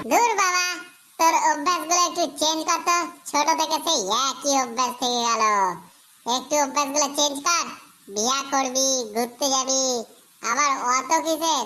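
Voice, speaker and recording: A cartoonish character voice speaks at a high pitch and a moderate pace. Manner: brash, boastful.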